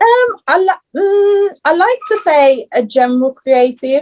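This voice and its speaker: A woman with a Birmingham accent and very wide pitch swings, in a dry, close sound with no echo. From Birmingham, England. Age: 20s. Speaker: fashion stylist and upcycling brand owner. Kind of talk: podcast interview. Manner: hesitant, many fillers.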